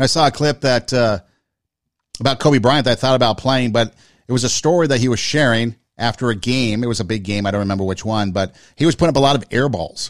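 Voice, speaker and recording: A man with an unremarkable speaking voice talks at a fairly quick pace in a medium pitch with lively intonation, recorded very cleanly over a silent background. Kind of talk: pep talk. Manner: earnest, encouraging, motivational.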